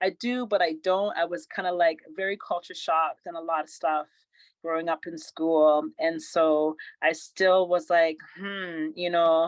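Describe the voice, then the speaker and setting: A woman uses an ordinary speaking voice, fairly low in pitch, at a fairly slow pace with fairly even intonation, in a dry, close sound with no echo. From Canada, born in England to Caribbean parents. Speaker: fitness trainer. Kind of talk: interview.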